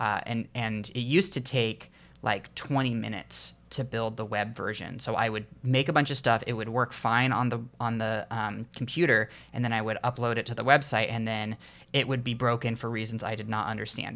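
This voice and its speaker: On a very clean recording with a silent background, a man with a medium pitch speaks loudly at a moderate pace, his tone bright and sharp and his intonation fairly even. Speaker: indie game developer. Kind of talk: casual vlog talk. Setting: home recording with headphones on. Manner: halting, many fillers.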